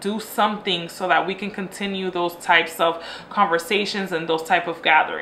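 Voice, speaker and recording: Over noticeable background noise, a woman with a medium pitch speaks in an animated tone with ordinary pitch variation. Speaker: lifestyle vlogger. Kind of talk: casual chat. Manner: fast.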